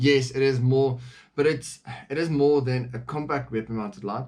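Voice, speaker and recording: A man talks at a moderate pace with medium pitch and ordinary pitch variation. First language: not English. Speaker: firearms reviewer. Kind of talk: product review. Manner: casual, with frequent fillers.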